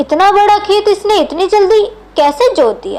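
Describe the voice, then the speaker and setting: Using a put-on character voice, a woman speaks at a fairly slow pace with an extremely high pitch. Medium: read story.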